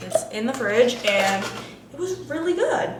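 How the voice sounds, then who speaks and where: With lively intonation, a woman speaks amid audible room echo and noticeable background noise. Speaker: lifestyle vlogger. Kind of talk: casual vlog talk to camera. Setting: at home, morning. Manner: quiet, hushed; chatty, filler-heavy.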